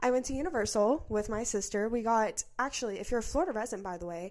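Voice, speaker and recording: Against a quiet background, a woman talks at a fairly quick pace. Her pitch is fairly high, with ordinary variation. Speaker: podcast host. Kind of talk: casual chat. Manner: fast.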